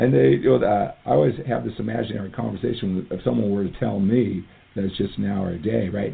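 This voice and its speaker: A man's fairly low voice at a very fast pace, with very wide pitch swings. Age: 50s. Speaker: fitness coach and podcast host. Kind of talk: motivational monologue. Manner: animated.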